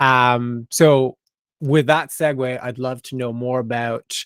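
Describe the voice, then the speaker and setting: A man with an American accent speaks in a normal speaking voice at medium pitch. His intonation is fairly even, and the sound is dry and close with no echo. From US, Idaho. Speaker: podcast host. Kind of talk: casual interview.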